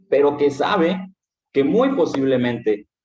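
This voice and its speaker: This man has a medium-pitched voice and lively intonation. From Mexico, Veracruz (Misantla). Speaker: philosophy teacher. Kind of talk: lecture. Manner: animated.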